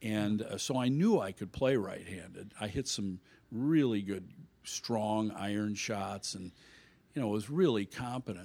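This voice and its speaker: A man talks in a plain, everyday voice, fairly low in pitch with ordinary pitch variation and a fairly slow pace. The recording is very clean with a silent background. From Illinois. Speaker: golf instructor. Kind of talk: casual chat.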